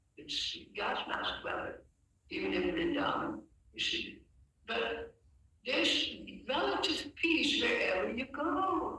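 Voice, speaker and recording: At a fairly slow pace, the speech comes with audible room echo and noticeable background noise. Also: man. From Netherlands. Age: 80s+. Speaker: religious teacher. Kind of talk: lecture. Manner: halting.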